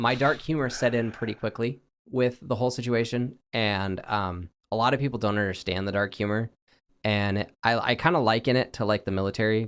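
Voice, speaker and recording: A man with a West Coast accent speaks at a fairly quick pace and a medium pitch, his intonation fairly even, on a very clean recording with a silent background. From US West, Oregon. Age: 20s. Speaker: cancer patient. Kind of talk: interview.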